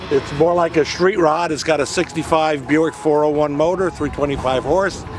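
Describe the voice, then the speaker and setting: With music in the background, a man of fairly high pitch talks at a moderate pace with fairly even intonation. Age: 70s. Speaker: classic car owner. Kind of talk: interview. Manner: halting, many fillers.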